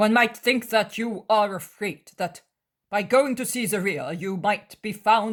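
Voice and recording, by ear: The text is read aloud in a natural voice. Nothing else can be heard behind it.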